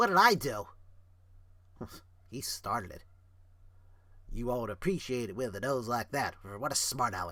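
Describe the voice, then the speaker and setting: A man speaks in a put-on character voice at a moderate pace. He leaves long, frequent pauses. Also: medium pitch for a man. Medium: read story.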